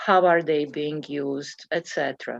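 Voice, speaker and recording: Speaking fairly slowly, a woman keeps a fairly even intonation in a very deep, low voice. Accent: non-native. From Bosnia and Herzegovina (former Yugoslavia). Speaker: committee member presenting to school board. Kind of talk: public meeting discussion. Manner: halting, many fillers.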